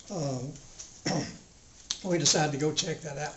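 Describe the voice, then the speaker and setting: Speaking with an Alabama accent and ordinary pitch variation, the voice comes through over noticeable background noise. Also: man. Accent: Southern US (Alabama). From Cullman County, Alabama. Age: 80s+. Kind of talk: storytelling talk to a local history society.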